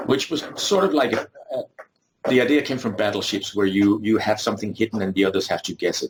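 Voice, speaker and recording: Somewhat breathy, a man of medium pitch talks very fast with ordinary pitch variation. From Denmark. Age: 50s. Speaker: board game designer. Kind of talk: interview.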